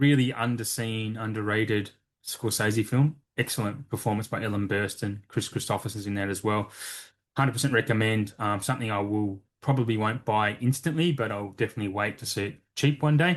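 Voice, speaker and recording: Against a quiet background, a man speaks fairly quickly in a plain, everyday voice, fairly low in pitch with ordinary pitch variation. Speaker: physical media collector, podcaster. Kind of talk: casual chat.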